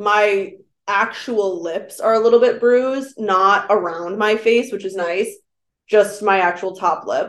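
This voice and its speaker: A normal speaking voice carries fairly even intonation. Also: woman, medium pitch for a woman, fairly slow pace. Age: 20s. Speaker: podcast co-host. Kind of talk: casual chat.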